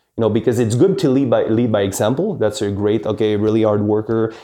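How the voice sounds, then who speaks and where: Fairly quick speech in a Quebec accent, dark and mellow in tone, with ordinary pitch variation and a quiet background. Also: man. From Quebec, with teen years in Paris. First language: French. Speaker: real estate executive. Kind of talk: interview. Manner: hesitant, many fillers.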